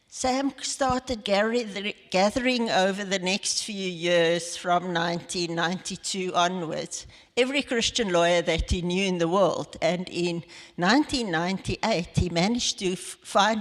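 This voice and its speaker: Someone speaks in a South African accent at a fairly slow pace, with ordinary pitch variation. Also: woman. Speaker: lawyer, head of legal ministry network. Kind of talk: interview in church service. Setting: church evening service.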